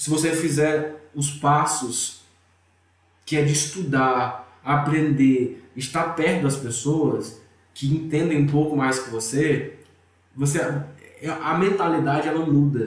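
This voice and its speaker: Amid audible room echo, a man with a fairly high pitch speaks at a very slow pace. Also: fairly even intonation. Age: 20s. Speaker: IT manager, investing student. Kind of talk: casual interview.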